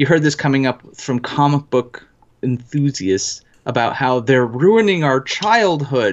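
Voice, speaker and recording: Speaking at a fairly slow pace with lively intonation, a man with an American accent has a fairly high pitch. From New Jersey, living in northern US. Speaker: executive producer, gamer. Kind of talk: casual livestream chat. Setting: live stream online.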